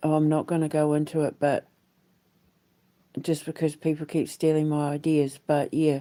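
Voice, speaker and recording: In a New Zealand accent, a woman speaks at a fairly slow pace with a very deep, low pitch, a dark, mellow tone and flat, monotone intonation, on a very clean recording with a silent background. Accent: New Zealand, refined. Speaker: vlogger and aspiring musical theatre creator. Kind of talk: casual vlog monologue. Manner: rambling with frequent fillers.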